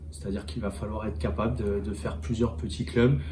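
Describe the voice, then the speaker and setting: With audible room echo, a man speaks with very wide pitch swings. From France, Angoulême. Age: 30s. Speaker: rugby fitness coach. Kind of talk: interview. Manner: halting, many hesitations.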